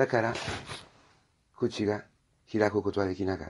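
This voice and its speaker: With an Italian accent, a man speaks in a fairly low pitch with monotone, flat intonation. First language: Italian (speaking Japanese). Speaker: priest. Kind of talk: homily. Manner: halting, with many fillers.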